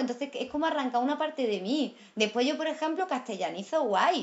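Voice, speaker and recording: This woman has a high pitch and an animated tone. Her intonation is lively, and she moves at a fairly quick pace. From Andalusia. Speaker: actress. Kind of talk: casual chat.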